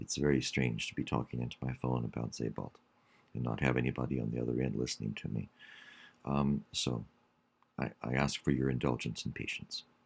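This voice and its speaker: With vocal fry, a man speaks at a very deep, low pitch in a flat monotone. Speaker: college English instructor. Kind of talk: online class announcement. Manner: slow; hesitant, many fillers.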